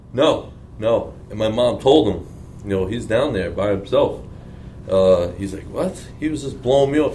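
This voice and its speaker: A man with an American accent, medium pitch and lively intonation, at a moderate pace amid audible room echo. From Long Island, New York. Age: 20s. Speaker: bodybuilding athlete. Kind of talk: casual Q&A interview.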